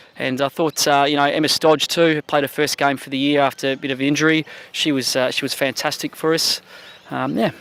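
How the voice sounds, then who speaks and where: This man talks at a fairly quick pace in an Australian accent. His fairly high voice stays monotone, with flat intonation. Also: dry, close sound with no echo. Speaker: football coach. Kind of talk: post-match interview.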